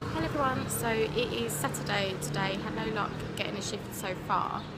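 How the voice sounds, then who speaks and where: At a moderate pace, a woman with a medium pitch speaks in very wide pitch swings, with noticeable background noise and audible room echo. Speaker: travel vlogger. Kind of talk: casual vlog. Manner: quiet.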